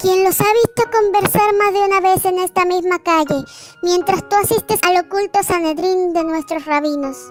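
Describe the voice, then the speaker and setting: Faint music plays in the background as a woman does a put-on character voice at a moderate pace. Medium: read story.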